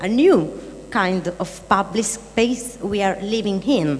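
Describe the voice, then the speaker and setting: A woman talks with ordinary pitch variation while noticeable background noise runs underneath. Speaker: artist discussing a media project. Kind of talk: panel discussion. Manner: halting, many fillers.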